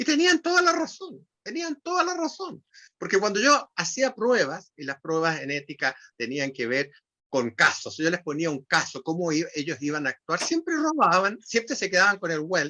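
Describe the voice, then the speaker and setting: Against a quiet background, a man projects a raised, high-pitched voice with a bright, sharp tone, very wide pitch swings and a moderate pace. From Chile. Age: 70s. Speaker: writer and retired language professor. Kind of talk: interview conversation. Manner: halting, frequent repetitions and fillers.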